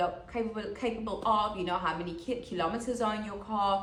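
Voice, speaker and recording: The speech moves at a moderate pace with ordinary pitch variation. Noticeable background noise and audible room echo are present. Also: woman. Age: 30s. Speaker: podcast host. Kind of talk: motivational monologue. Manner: casual, conversational.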